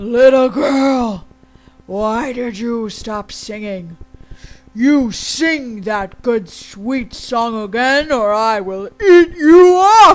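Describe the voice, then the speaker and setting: Someone uses a put-on character voice at a fairly high pitch and a very slow pace, with faint music in the background. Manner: mean, scary, threatening.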